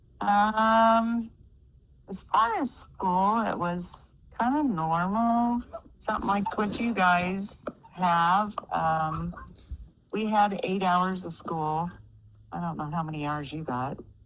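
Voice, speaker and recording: A woman speaks at a medium pitch and a very slow pace, with long, frequent pauses. Noticeable background noise runs underneath. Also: ordinary pitch variation. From US Midwest, Kansas. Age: 60s. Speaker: interviewee. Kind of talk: casual interview. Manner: hesitant, many fillers.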